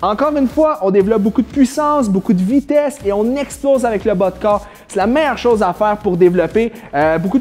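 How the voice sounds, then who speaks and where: Music plays behind a man talking at a very fast pace. His voice sits high and his intonation is lively. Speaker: fitness trainer. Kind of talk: exercise tutorial.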